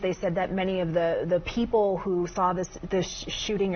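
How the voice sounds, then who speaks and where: Moderate pace over noticeable background noise. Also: woman. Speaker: news anchor. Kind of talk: live TV news broadcast. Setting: studio. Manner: calm, composed, authoritative.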